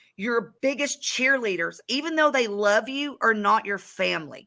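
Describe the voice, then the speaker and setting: A woman speaks with a Southern accent in a bright, sharp tone. Her pitch is fairly high, with ordinary variation. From US South, north Georgia. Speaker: real estate business owner. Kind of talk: interview.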